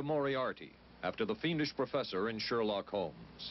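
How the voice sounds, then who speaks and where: Vocal fry marks a man's voice as he speaks at a moderate pace over light background noise. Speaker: TV news correspondent. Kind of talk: documentary narration. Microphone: old recording.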